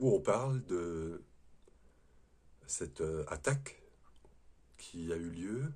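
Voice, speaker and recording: Somewhat breathy speech with very wide pitch swings and long, frequent pauses. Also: man, very deep, low pitch for a man. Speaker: spiritual video host, former prison guard. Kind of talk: spiritual talk to camera. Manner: hesitant, with fillers and repetitions.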